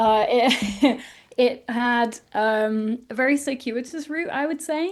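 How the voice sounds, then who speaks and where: Very slowly, a woman speaks in a high voice with ordinary pitch variation. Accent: English. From northern England, South Yorkshire. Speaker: author. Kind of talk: interview.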